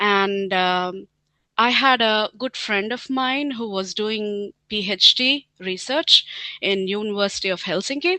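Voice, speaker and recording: A woman with an Indian accent. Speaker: scientist and team leader. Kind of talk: interview. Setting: webinar. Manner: hesitant, many fillers.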